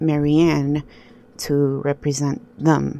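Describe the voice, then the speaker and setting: Over noticeable background noise, a woman with a non-native accent speaks in a very deep, low pitch. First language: not English. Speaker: coin collector video host. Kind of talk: casual show-and-tell tutorial. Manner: halting, many fillers.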